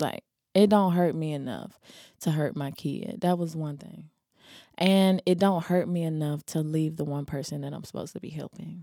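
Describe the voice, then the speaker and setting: At a moderate pace, a woman with a fairly low pitch and a dark, mellow tone shows ordinary pitch variation and big swings in loudness. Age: 30s. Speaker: podcast co-host and singer. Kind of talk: casual chat.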